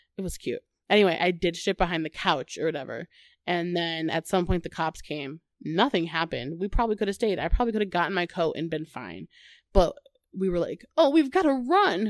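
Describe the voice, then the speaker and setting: In a dry, close sound with no echo, a woman talks at a fairly quick pace with a fairly low pitch. Her tone is animated and her intonation lively. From US Midwest. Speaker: podcast host. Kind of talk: casual chat, comedic banter. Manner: animated, jokey.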